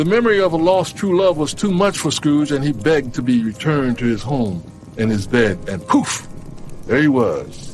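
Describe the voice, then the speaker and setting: With music playing in the background, a man speaks at a moderate pace, his pitch swinging very widely. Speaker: radio host. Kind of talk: story narration. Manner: casual, humorous asides.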